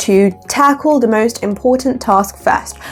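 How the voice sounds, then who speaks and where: A woman talks with noticeable background noise present throughout. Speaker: lifestyle vlogger. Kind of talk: vlog tutorial. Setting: home, by a window. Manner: animated.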